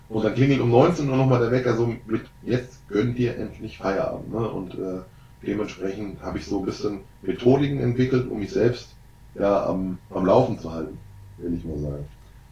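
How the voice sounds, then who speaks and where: With audible room echo around him, a man talks at a moderate pace. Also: medium pitch for a man, lively intonation. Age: 30s. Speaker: entrepreneur and disaster relief worker. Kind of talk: casual interview. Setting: on location in a relief camp.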